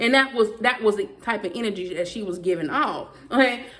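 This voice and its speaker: Speaking at a fairly quick pace, a woman with a strong Southern US accent uses lively intonation and a fairly high pitch. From US South. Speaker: YouTuber. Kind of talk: vlog rant. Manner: fast.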